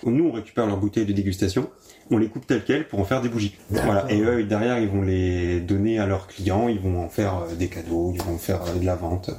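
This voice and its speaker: Speaking at a fairly quick pace with ordinary pitch variation, this voice comes through over noticeable background noise. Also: man, fairly low pitch for a man. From Champagne region, France (Marne). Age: 20s. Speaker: artisan candle maker. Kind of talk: interview. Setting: workshop.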